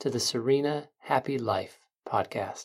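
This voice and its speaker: The tone is soothing and calm at a fairly slow pace. The recording is very clean, with a silent background. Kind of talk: guided meditation. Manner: slow, soothing and calm, with gentle pauses; soft-spoken and reassuring, warmly coaxing.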